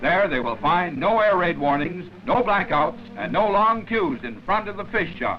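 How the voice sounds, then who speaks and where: A man speaks fairly slowly at a high pitch, with hardly any pauses. His intonation is lively, and music plays in the background. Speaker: newsreel narrator. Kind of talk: newsreel narration.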